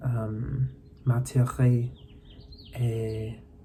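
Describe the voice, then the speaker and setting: The recording carries noticeable background noise. Audible room echo is also present. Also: man. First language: English (speaking French). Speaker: video blogger, language learner. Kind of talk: personal reflective monologue. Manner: halting, many hesitations and restarts.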